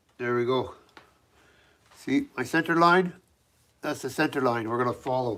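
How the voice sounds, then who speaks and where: A man talks loudly at a moderate pace and medium pitch, with ordinary pitch variation. His tone is bright and sharp, broken by long, frequent pauses. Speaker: knifemaker. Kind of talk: live stream tutorial. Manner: casual, halting.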